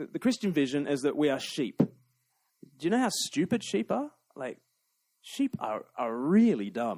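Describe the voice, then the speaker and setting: Recorded very cleanly against a silent background, a man with an Australian accent speaks at a fairly quick pace. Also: dry, close sound with no echo. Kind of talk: public talk to live audience.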